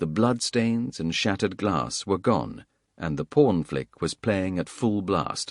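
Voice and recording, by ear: In a quiet setting, the text is read aloud in a natural voice.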